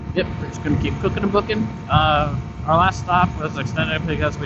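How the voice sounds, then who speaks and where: A man talks fairly quickly while noticeable background noise plays behind him. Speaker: motorcycle vlogger. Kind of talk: casual vlog narration while riding. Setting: on a motorcycle on the highway. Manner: loud, near yelling over wind.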